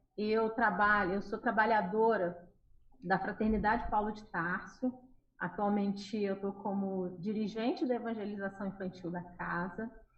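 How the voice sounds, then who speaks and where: At a fairly slow pace, this speaker talks with a Carioca accent and fairly even intonation. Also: woman. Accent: carioca accent, noticeable in the region. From Rio de Janeiro, Brazil. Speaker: children's religious educator. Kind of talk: interview on a live radio show.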